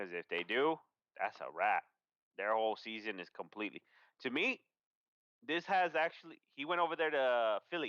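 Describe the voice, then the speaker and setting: A loud man at a fairly high pitch, bright and sharp in tone, with very wide pitch swings, a moderate pace, long and frequent pauses, and a dry, close sound with no echo. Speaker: sports podcast co-host. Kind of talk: casual sports chat livestream. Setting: livestream.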